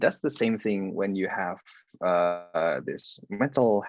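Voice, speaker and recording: The speaker is a man. He talks with an Indonesian accent. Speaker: university student, guest speaker. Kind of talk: coaching talk.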